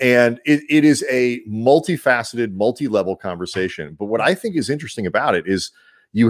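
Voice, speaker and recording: There is a plain, everyday voice here from a man talking at a fairly quick pace with lively intonation, on a very clean recording with a silent background. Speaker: podcast host. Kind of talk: casual chat.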